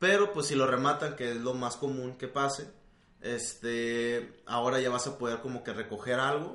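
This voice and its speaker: A man talks at a moderate pace, his voice carrying audible room echo through noticeable background noise. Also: medium pitch for a man, ordinary pitch variation. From Monterrey, Mexico. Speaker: video game podcast co-host. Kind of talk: casual chat.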